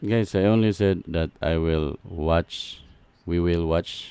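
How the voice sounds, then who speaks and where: A man's very deep, low-pitched voice with a non-native accent, very slow in pace, with fairly even intonation. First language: not English. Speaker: gaming YouTuber reacting to a preview. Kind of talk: casual reaction commentary. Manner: halting.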